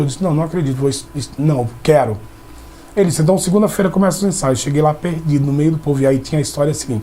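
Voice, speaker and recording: Noticeable background noise sits under speech whose pitch rises and falls in an ordinary way. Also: man. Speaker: actor. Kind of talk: interview. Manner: halting, with many restarts.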